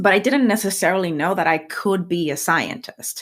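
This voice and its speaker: With a Spanish accent, a woman is talking. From rural Puerto Rico. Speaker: scientist and science communicator. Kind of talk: interview. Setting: podcast.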